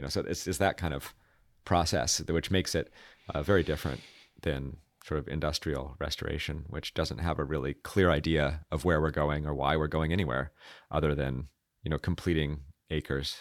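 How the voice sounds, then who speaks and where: Very deep, low male voice with vocal fry, fairly even intonation and a fairly quick pace, on a very clean recording against a silent background. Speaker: restoration ecologist. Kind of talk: casual interview chat.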